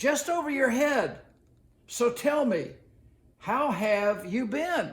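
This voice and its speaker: A man puts on a character voice at an extremely high pitch, speaking at a very slow pace with long, frequent pauses. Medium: read story.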